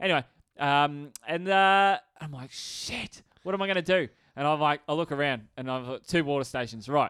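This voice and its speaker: With an Australian accent, a man talks at a moderate pace in a bright, sharp tone, with a fairly high pitch and ordinary pitch variation. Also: dry, close sound with no echo. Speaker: podcast co-host. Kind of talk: casual chat. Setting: studio. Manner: animated.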